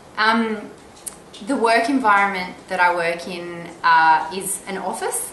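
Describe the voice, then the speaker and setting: A woman with an Australian accent at a very slow pace, medium pitch with ordinary pitch variation, big swings in loudness, and noticeable background noise. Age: 20s. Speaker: arts marketing coordinator. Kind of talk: career interview monologue. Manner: hesitant, many fillers.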